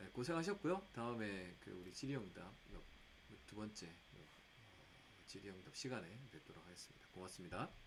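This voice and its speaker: A man's fairly low voice with lively intonation, a fairly quick pace broken by long, frequent pauses, and audible room echo. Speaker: edtech researcher presenting. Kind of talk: lecture. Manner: halting with fillers.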